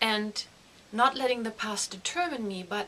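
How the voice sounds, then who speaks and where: Speaking in a German accent at a moderate pace, a woman keeps a medium pitch and ordinary pitch variation against noticeable background noise. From Germany. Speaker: grief counselor. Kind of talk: direct appeal to viewers; personal testimony to camera.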